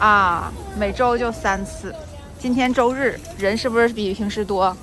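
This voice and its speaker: A woman's medium-pitched voice at a fairly slow pace, fairly even intonation, music in the background. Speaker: Chinese language teacher. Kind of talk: casual vlog talk to camera. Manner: natural normal speed.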